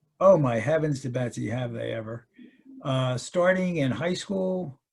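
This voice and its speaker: Speaking fairly slowly with an American accent, a man uses a medium pitch, lively intonation and a somewhat breathy voice. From Baltimore, US. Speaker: retired parishioner. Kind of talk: interview. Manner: hesitant, many fillers.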